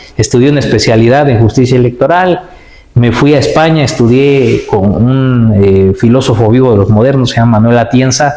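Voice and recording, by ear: With a dark, mellow tone and ordinary pitch variation, the voice moves at a fairly quick pace with few pauses, and audible room echo surrounds it. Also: man, medium pitch for a man.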